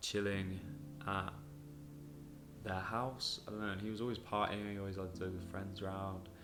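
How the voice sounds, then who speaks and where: Audible room echo surrounds a man speaking at a moderate pace in a southern English accent. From southern England. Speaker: podcast host. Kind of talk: personal storytelling monologue. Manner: casual, with many fillers.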